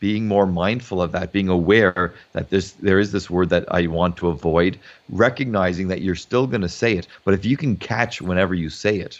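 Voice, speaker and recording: A man's very deep, low voice with hardly any pauses. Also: ordinary pitch variation. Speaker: psychologist. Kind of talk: casual chat. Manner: fast.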